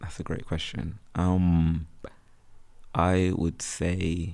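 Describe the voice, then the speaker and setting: In a very clean recording with a silent background, a man speaks very slowly in a very deep, low pitch, his intonation monotone and flat. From West Midlands, Birmingham. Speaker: freelance photographer and content creator. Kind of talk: casual chat. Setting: podcast recorded on campus. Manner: casual, filler-heavy speech.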